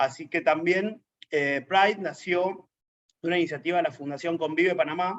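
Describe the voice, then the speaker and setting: In an Argentine accent, a man speaks at a moderate pace with a high pitch and fairly even intonation. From Argentina. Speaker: LGBT activist, network coordinator. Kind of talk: interview.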